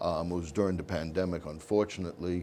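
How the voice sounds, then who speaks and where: This man speaks with an American accent in a very deep, low voice. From New York. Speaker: community volunteer, nonprofit board member. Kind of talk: interview.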